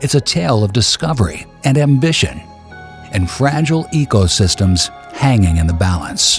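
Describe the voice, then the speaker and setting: Backed by music, a man speaks at a moderate pace with very wide pitch swings. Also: medium pitch for a man, very even loudness. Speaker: voice actor. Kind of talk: documentary narration. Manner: cinematic, measured.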